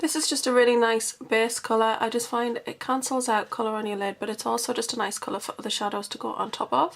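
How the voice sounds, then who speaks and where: A woman with a British accent talks at a very fast pace. Her pitch is fairly high, and there is noticeable background noise. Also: ordinary pitch variation, hardly any pauses. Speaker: beauty vlogger. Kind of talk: tutorial. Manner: chatty.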